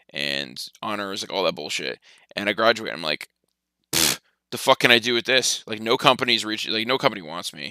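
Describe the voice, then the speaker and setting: A man with an American accent and vocal fry talks at a fairly quick pace in an animated tone, with very wide pitch swings and big swings in loudness. The sound is dry and close, with no echo. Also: fairly low pitch for a man. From New Jersey, Sussex County. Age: 20s. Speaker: fantasy sports streamer. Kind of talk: casual live stream chat. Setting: live stream. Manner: fast, animated.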